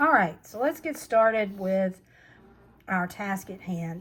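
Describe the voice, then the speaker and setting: Somewhat breathy, a woman talks at a fairly slow speed. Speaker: crochet channel host. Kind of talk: tutorial. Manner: casual.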